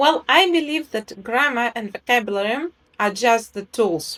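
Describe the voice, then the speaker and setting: Speaking fairly slowly with a non-native accent and lively intonation, a woman is heard in a very clean recording with a silent background. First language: not English. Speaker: English teacher, program co-author. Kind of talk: interview. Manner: hesitant with fillers.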